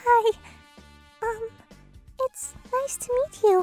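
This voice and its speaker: In a put-on character voice, a woman squeaks at an extremely high pitch over background music, with a dry, close sound and no echo. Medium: voice reel. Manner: timid, stammering.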